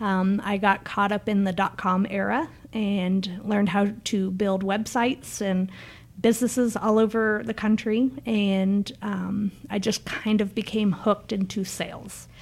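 In a very clean recording with a silent background, a woman speaks fairly slowly at a medium pitch in a somewhat breathy, monotone, flat voice. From Niagara Falls area Canada, then Memphis. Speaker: marketing director. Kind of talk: casual interview, promo talk.

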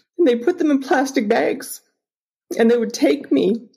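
The tone is dark and mellow, with vocal fry. The pace is moderate. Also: woman. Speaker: humanitarian charity cofounder. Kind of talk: personal testimony.

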